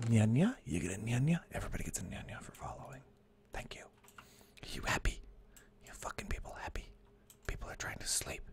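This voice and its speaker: Whispered speech comes at a fairly quick pace, broken by long, frequent pauses. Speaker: gaming streamer. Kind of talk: live gameplay stream chat. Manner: quiet, hushed.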